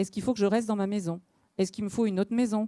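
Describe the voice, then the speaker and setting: A woman's dark, mellow voice at medium pitch, with fairly even intonation, in a dry, close sound with no echo on a very clean recording with a silent background. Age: 40s. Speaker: local elected official. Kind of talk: panel discussion. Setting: conference hall with audience.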